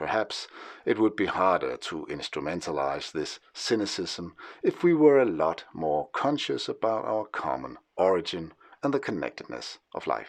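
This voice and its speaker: Over a quiet background, a man with a Danish accent speaks with vocal fry and very wide pitch swings. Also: fairly low pitch for a man, moderate pace. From Denmark. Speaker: historian and writer. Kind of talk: scripted narration. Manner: formal.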